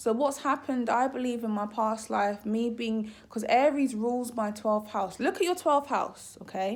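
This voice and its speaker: A woman speaks at a fairly high pitch and a moderate pace, with ordinary pitch variation. She takes hardly any pauses. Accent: British. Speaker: astrologer. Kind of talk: casual vlog talk. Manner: trips over words.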